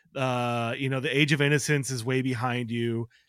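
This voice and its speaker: On a very clean recording with a silent background, a man with an American accent speaks at a fairly slow pace in a normal speaking voice of medium pitch. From Chicago, US Midwest. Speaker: writer. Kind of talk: casual chat.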